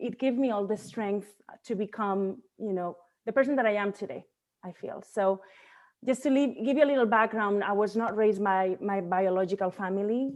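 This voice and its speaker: Speaking at a moderate pace, a woman has a medium pitch and a Spanish accent. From Spain, Barcelona. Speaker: bodybuilding coach. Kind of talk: podcast interview.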